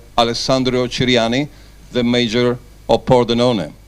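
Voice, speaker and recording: A man in an Italian accent, medium-pitched, at a moderate pace. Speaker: sports journalist, presenter. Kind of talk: event presenting. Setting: press conference.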